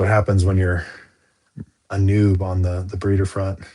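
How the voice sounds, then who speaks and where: A man speaks at a fairly slow pace in a very deep, low, dark and mellow voice that is somewhat breathy, with monotone, flat intonation. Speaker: reptile breeder streamer. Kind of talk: casual live stream chat. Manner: halting, many fillers.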